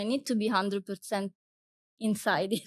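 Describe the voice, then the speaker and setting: A woman speaks with an Italian accent in a fairly high voice. Her intonation stays fairly even. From Italy. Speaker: wildlife guide and photographer. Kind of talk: interview conversation.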